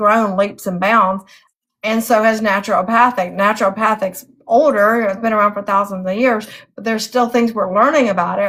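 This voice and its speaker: A woman with a normal speaking voice talks at a moderate pace in a fairly high pitch, her intonation fairly even. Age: 60s. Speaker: author and interviewer. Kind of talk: casual chat.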